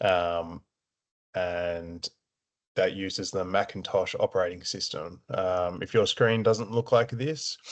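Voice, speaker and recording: Very slow and very deep, a man's low voice moves with ordinary pitch variation. The background is quiet. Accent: Australian. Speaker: support officer at a veterans' families charity. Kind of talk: tutorial. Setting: screen-share recording. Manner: slow, deliberate pacing; hesitant, many filler words.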